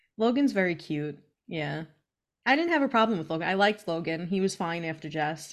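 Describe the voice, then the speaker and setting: In a very clean recording with a silent background, a woman with an unremarkable speaking voice and a fairly low pitch speaks at a fairly quick pace with lively intonation. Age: 30s. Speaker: podcast co-host. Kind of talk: casual chat. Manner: laughs often.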